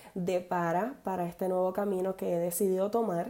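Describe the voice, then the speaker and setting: A woman speaks at a medium pitch with a dark, mellow tone. Her delivery is fairly slow and monotone, with flat intonation. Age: 30s. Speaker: podcast host, entrepreneur. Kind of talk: casual monologue. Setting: home office.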